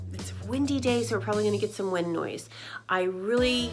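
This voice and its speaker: Clear music plays in the background. A woman talks at a fairly quick pace. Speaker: photography vlogger. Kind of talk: casual vlog chat.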